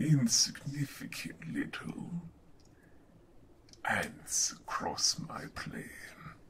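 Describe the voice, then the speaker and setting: A raspy, put-on character voice from a man, high-pitched and very slow, with long, frequent pauses. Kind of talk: villain monologue. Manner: menacing, contemptuous.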